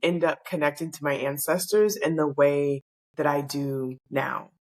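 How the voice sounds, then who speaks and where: The speaker is a woman with an American accent. She talks at a moderate pace. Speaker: spiritual healer. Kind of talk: personal monologue. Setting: at home in pajamas.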